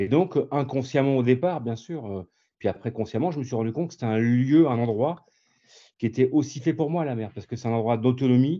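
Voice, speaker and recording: This man's voice is medium in pitch, with ordinary variation. He talks fairly quickly. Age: 60s. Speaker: visually impaired sailor. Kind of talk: interview. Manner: hesitant, many fillers.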